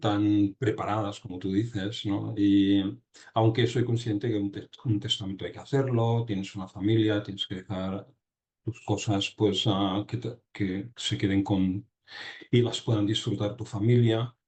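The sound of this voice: A man talks at a fairly slow pace in a fairly low voice with little pitch movement. His tone is slightly mellow with a slightly husky edge.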